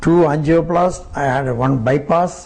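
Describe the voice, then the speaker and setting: Audible room echo and noticeable background noise around a voice with ordinary pitch variation. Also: man. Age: 70s. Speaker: devotee. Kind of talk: interview.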